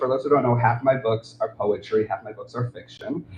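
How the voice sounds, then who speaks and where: Noticeable background noise sits behind the speech. The man's voice is at a medium pitch. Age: 30s. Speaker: author and poet. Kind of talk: livestream talk about own books. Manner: halting.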